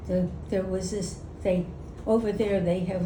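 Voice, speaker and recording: A woman talks at a fairly slow pace, medium in pitch, with fairly even intonation. Noticeable background noise sits behind her. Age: 80s+. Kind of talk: interview answer. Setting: outdoors. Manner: spunky.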